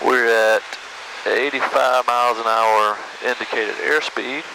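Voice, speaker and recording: The recording is dry with no echo and has noticeable background noise. A man talks at a fairly slow pace. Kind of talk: casual vlog commentary. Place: plane. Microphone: headset.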